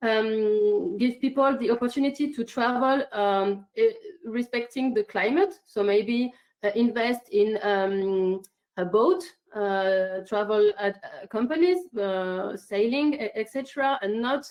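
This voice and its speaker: With a French accent, a woman speaks at a fairly slow pace in a fairly high pitch with lively intonation. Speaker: climate activist. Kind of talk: online conference statement. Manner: halting, many fillers.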